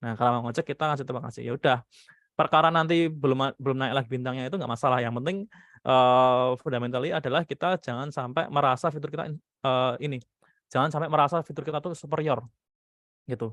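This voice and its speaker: A man with a medium pitch for a man talks very fast, keeping his intonation fairly even. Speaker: product manager. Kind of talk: online panel discussion. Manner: casual, many fillers.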